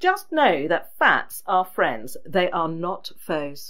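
Speaking fairly slowly with an English accent, a woman uses a fairly low pitch and lively intonation. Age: 50s. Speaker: podcast host. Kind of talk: solo podcast talk. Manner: chatty.

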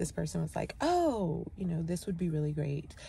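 With light background noise and a dry sound with no echo, a woman talks at a fairly quick pace. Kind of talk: casual vlog chat. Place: car. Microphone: phone near.

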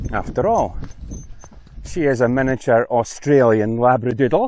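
The man's voice sounds dry, with no echo. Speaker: travel vlogger. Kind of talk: casual vlog chat. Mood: cheerful, joking. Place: open country. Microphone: lapel.

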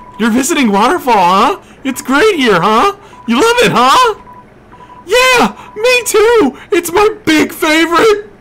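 Putting on a character voice, a man speaks slowly in an extremely high, squeaky tone, with very wide pitch swings. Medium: actual play. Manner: chatty, repetitive tag questions.

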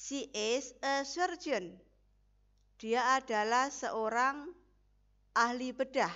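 A woman speaks in a high pitch. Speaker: English teacher. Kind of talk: lecture.

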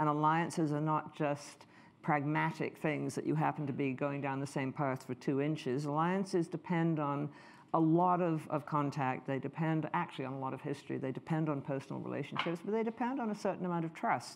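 A woman's very deep, low voice at a fairly quick pace, with ordinary pitch variation. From Canada. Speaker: history professor; speaker. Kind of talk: lecture. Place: hall.

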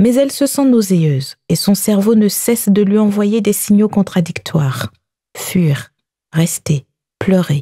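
In a medium pitch, a woman speaks very slowly with lively intonation, somewhat breathy. Her tone is dark and mellow, and the sound is dry and close with no echo. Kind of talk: audiobook narration. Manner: measured, narrative, slow-paced.

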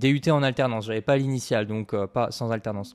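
A man talks at a fairly quick pace in a normal speaking voice. His pitch is medium with ordinary variation, and the recording is very clean with a silent background. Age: 20s. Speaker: agency founder. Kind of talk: casual chat.

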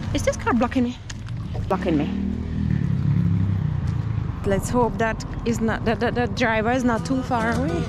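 Over loud background noise, a woman speaks with long, frequent pauses in a dry sound with no echo. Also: moderate pace. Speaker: food vlogger. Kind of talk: casual vlog chat. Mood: happy, relaxed. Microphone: phone near.

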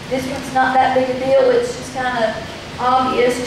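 Speaking at a fairly slow pace, a woman with a high pitch talks in a flat monotone, amid noticeable background noise and strong room echo. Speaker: youth pastor. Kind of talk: sermon. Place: stage.

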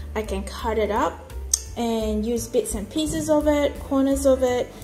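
The speech moves at a fairly slow pace while faint music plays in the background. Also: woman. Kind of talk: tutorial. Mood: calm, relaxed. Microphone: phone near.

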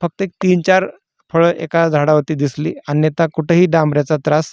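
Over a quiet background, a man with a fairly high pitch uses an ordinary speaking voice, the sound dry and close with no echo. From Maharashtra, Solapur district. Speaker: pomegranate farmer. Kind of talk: farm walkthrough interview. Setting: outdoors in orchard.

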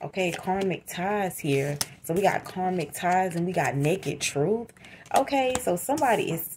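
A woman talks with an ordinary speaking voice, fairly low in pitch. Her intonation is lively over light background noise. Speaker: tarot reader. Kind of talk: tarot reading commentary. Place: home room. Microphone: phone near.

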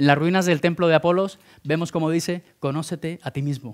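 In an ordinary speaking voice, a man talks at a moderate pace with fairly even intonation over a quiet background. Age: 30s. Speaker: speaker at entrepreneurship program; conference speaker. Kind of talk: conference talk. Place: hall. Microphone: headset.

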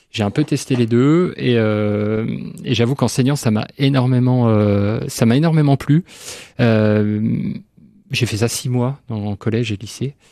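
A man speaks at a fairly slow pace in a dark, mellow tone with ordinary pitch variation. The sound is dry with no echo, and the background is quiet. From France, Nancy area; France. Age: 40s. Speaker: museum director; radio guest. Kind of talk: radio interview. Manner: halting. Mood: calm, relaxed. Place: studio. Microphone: studio mic.

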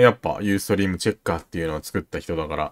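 A man is recorded very cleanly against a silent background, the sound dry and close with no echo. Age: 30s. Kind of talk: casual chat.

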